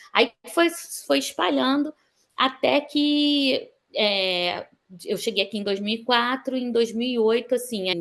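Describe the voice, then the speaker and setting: At a very slow pace, a woman with a high pitch talks with lively intonation. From Brazil, Rio de Janeiro. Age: 50s. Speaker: sonography technician and dentist. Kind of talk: interview testimony. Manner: halting, with many fillers.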